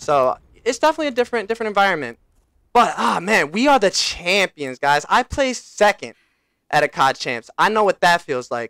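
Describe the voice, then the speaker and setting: A man speaks fairly quickly in a raised, projected voice, high-pitched and bright, sharp in tone, with very wide pitch swings. The very clean recording has a silent background and a dry, close sound with no echo. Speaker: esports analyst and former pro gamer. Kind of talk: casual vlog recap. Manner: casual, filler-heavy with repetitions.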